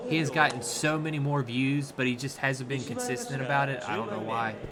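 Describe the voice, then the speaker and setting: Noticeable background noise sits behind a man speaking in a fairly high pitch. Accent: Southern US. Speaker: sumo commentator. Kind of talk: casual live commentary.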